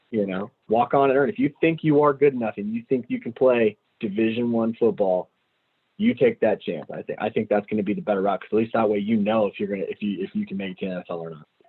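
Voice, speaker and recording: The delivery runs at a very fast pace. It comes in an American accent. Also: man, medium pitch for a man, ordinary pitch variation. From San Francisco Bay Area, California. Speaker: former college and pro quarterback. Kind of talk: podcast interview. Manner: animated, conversational.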